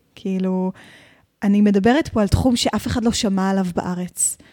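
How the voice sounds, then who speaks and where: A woman speaks at a medium pitch and a moderate pace. Her tone is dark and mellow, and the recording is very clean with a silent background. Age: 30s. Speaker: mermaid performer and business owner. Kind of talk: interview.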